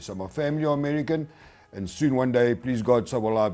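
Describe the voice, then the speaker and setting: Someone with a South African accent speaks at a very fast pace. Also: man. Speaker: hardwood flooring installer and product promoter. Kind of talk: webinar presentation. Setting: webinar.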